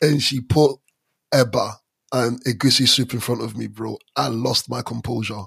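A man speaks at a moderate pace and medium pitch, with vocal fry. The sound is dry and close, with no echo. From London and Stranraer, Scotland. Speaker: podcast co-host. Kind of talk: casual chat. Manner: animated.

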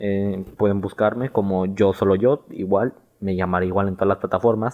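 This man's voice sits fairly low in pitch, moving at a moderate pace with fairly even intonation. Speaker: podcast host. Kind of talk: casual solo podcast monologue. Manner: halting, stumbling over words.

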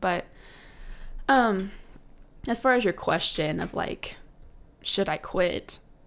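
In a very clean recording with a silent background, a woman's voice is heard. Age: 20s. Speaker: podcast co-host. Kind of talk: casual chat.

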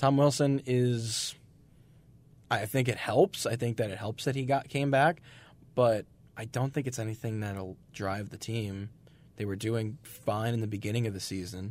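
Medium pitch for a man, ordinary pitch variation, and a very clean recording with a silent background. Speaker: radio host. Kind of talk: college radio sports talk show, casual banter. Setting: studio. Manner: animated, opinionated, conversational; quick, jokey, laughs with co-hosts.

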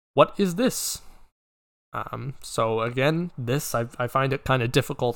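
The recording is very clean, with a silent background. A man speaks fairly slowly with lively intonation. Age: young. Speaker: podcast host. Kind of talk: casual solo chat. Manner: filler-heavy, hesitant.

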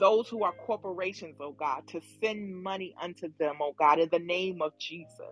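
Background music behind speech at a moderate pace. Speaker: prayer leader. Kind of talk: fervent intercessory prayer. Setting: online prayer room. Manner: impassioned, rhythmic, pleading, with repeated 'O oh God'.

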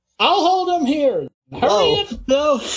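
A put-on character voice, high in pitch with very wide pitch swings, at a fairly slow pace.

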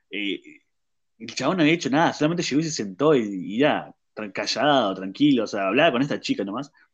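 A man's medium-pitched voice with a Rioplatense accent, lively intonation and a fairly quick pace, against a quiet background. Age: 20s. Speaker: podcast host. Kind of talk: casual chat.

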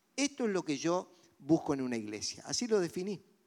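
A man with a high pitch talks at a moderate pace on a very clean recording with a silent background. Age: old. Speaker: pastor. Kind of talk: sermon.

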